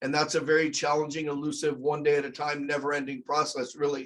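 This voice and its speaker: Pitched fairly high, a man speaks with monotone, flat intonation. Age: 50s. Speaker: therapist. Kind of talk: lecture. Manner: fast.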